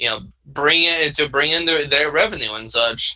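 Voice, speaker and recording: Fairly high-pitched, a man talks at a moderate pace with ordinary pitch variation. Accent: Southern US. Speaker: podcast co-host. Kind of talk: casual chat. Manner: halting, many fillers and restarts.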